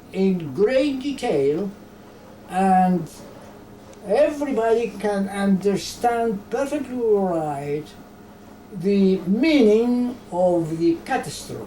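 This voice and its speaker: A woman's medium-pitched voice at a very slow pace with lively intonation, amid noticeable background noise and audible room echo. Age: 90s. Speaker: genocide survivor and author. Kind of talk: interview. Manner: halting.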